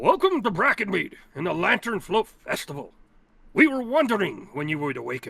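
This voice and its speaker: Using a put-on character voice, a man talks at a moderate pace with a high pitch and very wide pitch swings. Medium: actual play.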